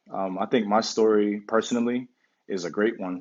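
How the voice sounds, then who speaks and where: The voice is quiet, at a moderate pace, with ordinary pitch variation. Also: man. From US, Pittsburgh area. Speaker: professional basketball player. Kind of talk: casual interview. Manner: quiet, thoughtful; halting, many fillers.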